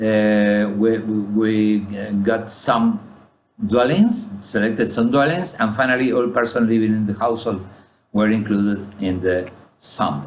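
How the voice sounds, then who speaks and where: A man's voice of very even loudness and ordinary pitch variation, with audible room echo. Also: fairly low pitch for a man, fairly slow pace. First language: Spanish. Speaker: statistician. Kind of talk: conference presentation. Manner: halting, many fillers.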